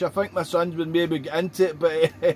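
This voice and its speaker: A man with a Scottish accent at a fairly quick pace, with noticeable background noise. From Scotland. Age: 40s. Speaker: ham radio operator. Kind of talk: casual chat. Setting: radio contact. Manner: halting.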